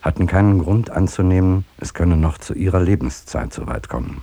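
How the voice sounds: A man's put-on character voice, low, dark and mellow, with vocal fry, lively intonation and a fairly quick pace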